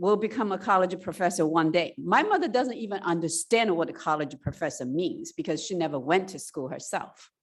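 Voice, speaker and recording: Over a quiet background, a woman with a Chinese accent speaks at medium pitch and a moderate pace, her pitch swinging very widely. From China. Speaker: college president. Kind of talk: public speech.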